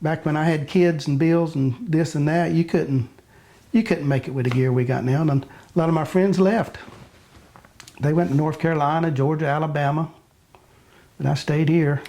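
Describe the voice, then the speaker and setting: Speaking in a Florida accent at a moderate pace, a man with a fairly high pitch keeps a very even loudness and ordinary pitch variation, with long, frequent pauses. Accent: Southern US, Florida. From Pine Island, Florida. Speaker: commercial fisherman. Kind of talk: interview answer.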